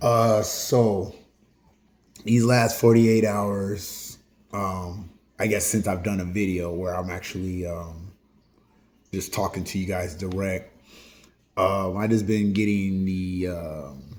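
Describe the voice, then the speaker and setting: A man's very deep, low voice at a very slow pace, with long, frequent pauses, fairly even intonation and audible room echo. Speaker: YouTuber hosting solo talk videos. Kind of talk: casual open discussion to camera. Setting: at home. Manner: hesitant, many fillers.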